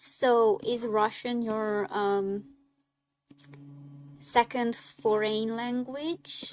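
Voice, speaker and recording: On a very clean recording with a silent background, a woman speaks very slowly at a fairly high pitch, with ordinary pitch variation and long, frequent pauses. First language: Hungarian. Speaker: artist streamer. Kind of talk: casual chat. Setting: live stream. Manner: casual.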